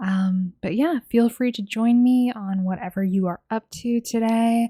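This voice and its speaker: Soft-spoken and somewhat breathy, a woman speaks in a fairly high pitch with a dark, mellow tone and ordinary pitch variation on a very clean recording with a silent background. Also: dry, close sound with no echo. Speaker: diamond painting YouTuber. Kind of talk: casual chat while crafting. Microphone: mic held close to face.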